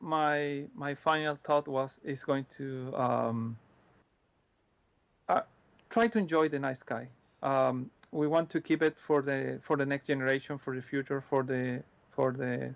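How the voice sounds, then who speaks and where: A man with a Spanish accent speaks slowly-ish, leaving long pauses often. His pitch is fairly high and his intonation fairly even. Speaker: astronomy presenter. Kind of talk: Q&A answers. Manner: halting, many repetitions and fillers.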